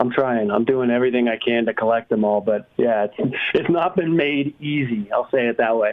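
A man with an American accent and an ordinary speaking voice, medium in pitch, at a moderate pace with ordinary pitch variation, very even loudness and hardly any pauses. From New England, US. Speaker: motocross stats specialist. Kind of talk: casual chat.

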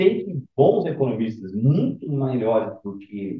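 A man's somewhat breathy voice. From Rio de Janeiro, Brazil. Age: 50s. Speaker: fund manager. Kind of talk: podcast interview.

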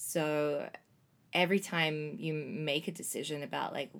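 In an Australian accent, a woman speaks with a very deep, low pitch and fairly even intonation on a very clean recording with a silent background. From Australia, Melbourne. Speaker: travel program leader. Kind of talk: casual chat.

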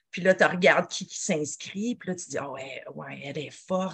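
A woman speaks at a medium pitch with a Quebec accent. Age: 40s. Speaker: nutritionist and mountain athlete. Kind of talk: podcast interview.

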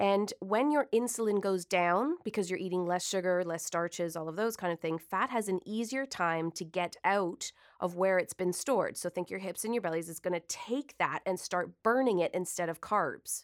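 A woman with a plain, everyday voice, medium pitch, ordinary pitch variation, moderate pace and hardly any pauses, in a very clean recording with a silent background. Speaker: nutritionist. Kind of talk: radio interview. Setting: studio.

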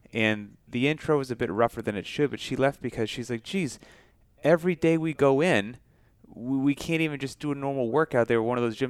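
Talking at a fairly quick pace, a man with a normal speaking voice, medium pitch and ordinary pitch variation comes through a dry, close sound with no echo on a very clean recording with a silent background. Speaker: podcast co-host. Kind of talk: casual interview.

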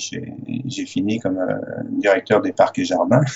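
Speaking fairly slowly, a man talks with a French accent. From France. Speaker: sailor. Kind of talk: interview.

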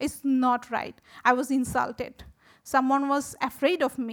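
A woman's high-pitched voice with a Bengali accent, at a fairly slow pace and with big swings in loudness. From Bangladesh. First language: Bangla. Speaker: visual artist and photography teacher. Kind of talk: symposium talk.

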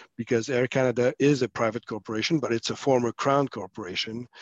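A man with a French accent talks at medium pitch and fairly even intonation, the sound dry and close with no echo. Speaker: former senator and policy consultant. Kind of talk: casual panel discussion.

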